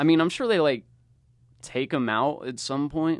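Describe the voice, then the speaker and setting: Over a quiet background, a man with an ordinary speaking voice talks at a moderate pace with ordinary pitch variation. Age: 20s. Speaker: podcast host. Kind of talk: casual chat.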